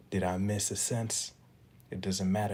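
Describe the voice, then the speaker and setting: A quiet, somewhat breathy man's voice in a dark, mellow tone at a moderate pace. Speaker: motivational podcaster. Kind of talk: motivational monologue with spoken-word poetry. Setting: at home, early morning. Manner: kept low and quiet; rhythmic, rhyming delivery.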